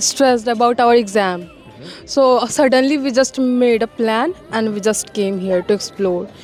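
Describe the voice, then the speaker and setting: A woman talks at a moderate pace in a fairly high pitch. Music plays in the background. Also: ordinary pitch variation. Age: young. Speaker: university student. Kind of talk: interview answer. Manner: calm.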